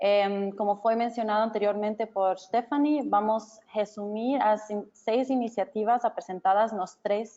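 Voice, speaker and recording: A woman with a non-native accent, fairly high-pitched and fairly slow. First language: not Portuguese (speaking Portuguese). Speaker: researcher and webinar organizer. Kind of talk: webinar closing remarks. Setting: online webinar. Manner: halting.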